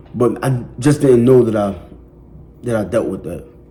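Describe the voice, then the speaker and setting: Audible room echo surrounds a man speaking at medium pitch and a fairly quick pace. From West Philadelphia. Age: 20s. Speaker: person in addiction recovery. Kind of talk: testimony. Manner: casual, conversational with fillers.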